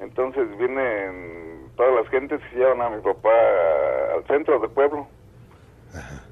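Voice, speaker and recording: A man speaks at a fairly slow pace in a medium pitch with a Mexican accent, his pitch varying in an ordinary way. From Mexico. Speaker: caller. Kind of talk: phone-in storytelling. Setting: phone call.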